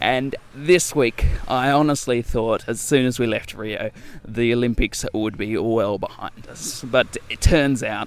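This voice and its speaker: The speaker is a man with an Australian accent. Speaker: travel podcast host. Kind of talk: casual podcast narration and interview. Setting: bedroom interview.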